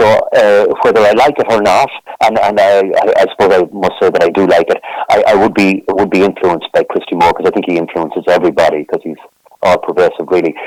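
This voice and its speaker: A man with an Irish midlands accent at a very fast pace, amid noticeable background noise. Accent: Irish (Roscommon). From Ireland, County Roscommon. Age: 60s. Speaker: folk singer-songwriter. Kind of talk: interview. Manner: halting, many repetitions.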